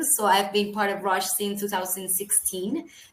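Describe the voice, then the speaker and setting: In a Colombian accent, a woman talks at a medium pitch and a fairly slow pace. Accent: non-UK, Colombian. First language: Spanish. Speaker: HR early careers recruiter. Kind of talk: webinar presentation.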